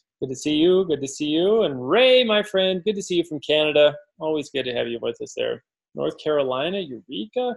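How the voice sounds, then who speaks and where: Lively intonation marks a man speaking at a fairly quick pace. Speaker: forex trading educator. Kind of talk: live webinar. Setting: online webinar, video call. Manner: loud; casual, filler-heavy. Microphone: close to microphone, low volume.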